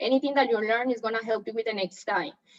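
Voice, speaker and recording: The voice has a Colombian accent and fairly even intonation. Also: woman. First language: Spanish. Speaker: real estate agent. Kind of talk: training talk.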